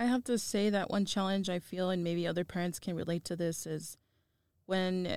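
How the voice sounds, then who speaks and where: At a moderate pace, a woman speaks in a plain, everyday voice at a medium pitch with fairly even intonation. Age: 20s. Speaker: working student and mother. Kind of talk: interview.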